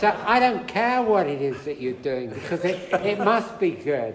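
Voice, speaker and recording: Amid noticeable background noise and audible room echo, a man speaks at a high pitch with very wide pitch swings. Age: 70s. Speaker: speaker on spiritual teachers. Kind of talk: talk to an audience, conversational. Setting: hall with audience. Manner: animated.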